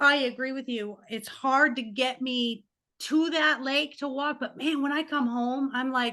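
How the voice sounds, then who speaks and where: Against a quiet background, a woman with a high, bright, sharp voice projects at a raised volume, speaking fairly slowly with fairly even intonation. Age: 50s. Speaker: life coach and podcast host. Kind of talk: interview.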